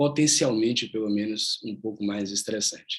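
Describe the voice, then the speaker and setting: In an ordinary speaking voice, the speaker keeps fairly even intonation at a moderate pace. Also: man. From Salvador, Bahia, Brazil. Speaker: yoga teacher. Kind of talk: online workshop talk.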